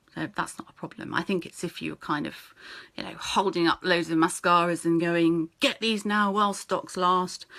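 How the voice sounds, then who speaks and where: A woman with a British accent, fairly low in pitch, bright and sharp in tone, with fairly even intonation and big swings in loudness. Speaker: network marketing team leader. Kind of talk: live-stream training talk. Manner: fast.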